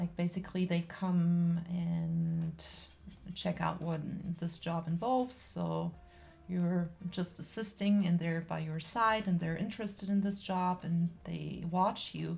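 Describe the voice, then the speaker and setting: A woman's fairly low, somewhat breathy voice in a German accent, at a fairly slow pace with fairly even intonation. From Germany. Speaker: artist livestreamer and personal care assistant. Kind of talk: casual chat while painting on livestream. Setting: livestream. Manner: halting, with fillers.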